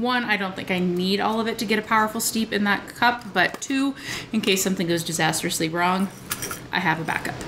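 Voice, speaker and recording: A woman talks at a fairly quick pace with ordinary pitch variation. Noticeable background noise sits behind her. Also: very even loudness. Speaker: tea review vlogger. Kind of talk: casual vlog tea review. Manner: casual, with frequent filler words.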